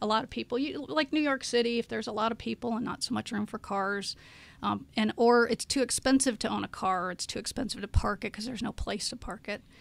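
This woman talks at a very fast pace in a fairly high pitch, with vocal fry and ordinary pitch variation. The recording is very clean, with a silent background. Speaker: community activist. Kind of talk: interview. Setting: studio.

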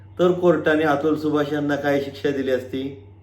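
In a room with audible echo, a man speaks at a fairly high pitch with ordinary pitch variation. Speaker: lawyer and legal YouTuber. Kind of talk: video monologue. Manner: animated.

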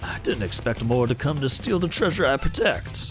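A rumbling, put-on character voice goes at a moderate pace over clear background noise. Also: man, medium pitch for a man. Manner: menacing, imposing.

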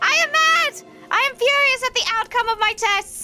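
A put-on character voice, female-sounding and menacing, pitched extremely high, with clear music in the background. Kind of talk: theatrical villain monologue. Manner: spooky, menacing.

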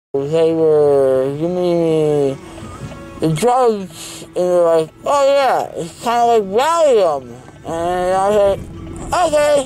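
A man talks at a very slow pace. Faint music plays in the background. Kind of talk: casual vlog chat. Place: car. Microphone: phone near.

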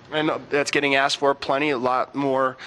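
Words come very quickly from a man. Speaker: TV morning show host. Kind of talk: interview questions and chat. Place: bar. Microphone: handheld.

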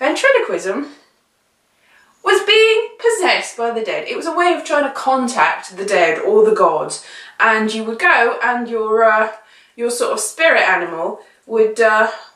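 A woman at a fairly slow pace, with audible room echo and a quiet background. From England. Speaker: vlogger. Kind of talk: casual talk to camera. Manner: chatty, rambling. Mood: wry, playful. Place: home room. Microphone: camera far.

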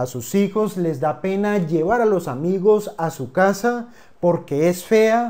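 Over a quiet background, a man speaks at a high pitch in a dark, mellow tone. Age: 30s. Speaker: finance educator. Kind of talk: scripted narration. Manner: formal. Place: home room. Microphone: lapel.

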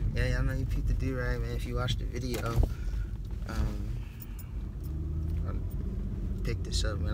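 Loud background noise under a man's very rapid speech. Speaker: vlogger. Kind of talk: casual vlog chat. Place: car. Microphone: phone near.

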